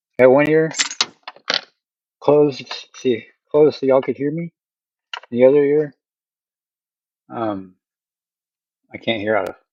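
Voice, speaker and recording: With long, frequent pauses, a man with a fairly high pitch and a dark, mellow tone speaks at a moderate pace with ordinary pitch variation. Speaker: streamer. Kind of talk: casual live stream chat. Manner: loud.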